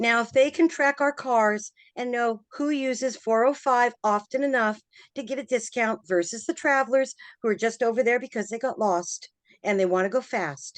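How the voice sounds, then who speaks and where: A woman's fairly high-pitched, ordinary speaking voice with ordinary pitch variation, in a dry, close sound with no echo and a quiet background. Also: moderate pace. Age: 60s. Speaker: community member commenting at town hall. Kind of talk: public meeting comment.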